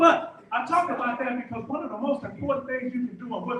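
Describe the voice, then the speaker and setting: A man with an American accent talks at a fairly quick pace in an animated tone with lively intonation. Audible room echo and noticeable background noise surround him. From Texas, Houston. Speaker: Navy veteran and motivational speaker. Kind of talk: motivational talk. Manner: fast.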